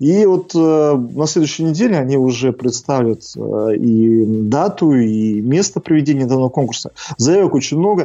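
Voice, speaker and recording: Against a quiet background, a man with a medium-pitched voice and a dark, mellow tone talks at a moderate pace with lively intonation and very even loudness. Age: 30s. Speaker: crematorium director. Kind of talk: interview.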